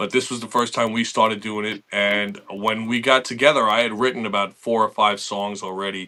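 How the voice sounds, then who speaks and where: A man with a New York accent talks at a fairly quick pace with hardly any pauses. His voice is fairly low and his intonation fairly even. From Long Island, New York. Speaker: metal guitarist. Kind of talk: interview. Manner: casual, with many fillers.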